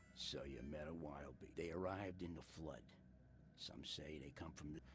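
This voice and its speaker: A man's put-on character voice with clear background noise. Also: moderate pace. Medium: video game.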